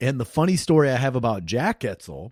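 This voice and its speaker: A man with a Midwestern US accent speaks at a moderate pace in a dark, mellow tone. The recording is very clean, with a silent background. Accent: US Midwest. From Iowa. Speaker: podcast host. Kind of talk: podcast intro monologue. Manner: casual.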